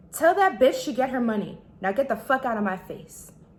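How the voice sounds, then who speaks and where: In a put-on character voice, a woman shouts in a whiny, high pitch at a fairly quick pace, her pitch swinging very widely. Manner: vexed, whiny, shouting.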